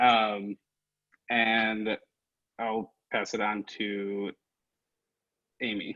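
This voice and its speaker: Speaking very slowly, a man with an American accent leaves long, frequent pauses. His fairly low voice is monotone and flat. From Minnesota, US Midwest. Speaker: workshop participant. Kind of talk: casual chat.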